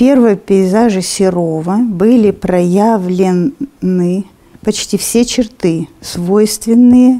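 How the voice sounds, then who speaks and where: The tone is dark and mellow. The intonation stays fairly even. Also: woman. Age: 70s. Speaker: test taker. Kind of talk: reading exam questions aloud and thinking through answers. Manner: hesitant, thinking aloud. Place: studio.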